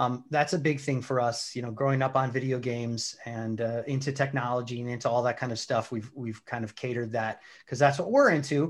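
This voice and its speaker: A man with an American accent and a normal speaking voice talks fairly quickly at medium pitch, with hardly any pauses. His intonation is fairly even, and the background is quiet. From Wisconsin, about an hour north of Milwaukee. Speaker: bar owner. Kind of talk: casual interview.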